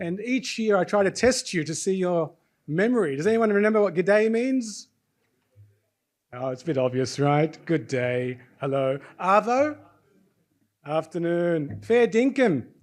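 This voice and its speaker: A high-pitched man with an Australian accent speaks at a fairly slow pace, with very wide pitch swings and long, frequent pauses. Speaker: session host and faculty member. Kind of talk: live event hosting. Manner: animated.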